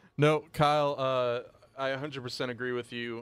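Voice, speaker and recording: The recording is very clean, with a silent background. A man at medium pitch speaks at a fairly slow pace. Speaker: digital writer and editor, podcast co-host. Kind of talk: casual sports chat. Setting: studio. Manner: animated.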